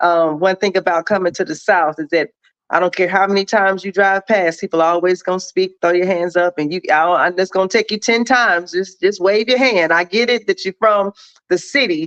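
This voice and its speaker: In a dry, close sound with no echo, a woman with an ordinary speaking voice and a medium pitch talks at a fairly quick pace with ordinary pitch variation. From Milwaukee, Wisconsin (born in Jonesboro, Arkansas). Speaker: show guest. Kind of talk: casual chat.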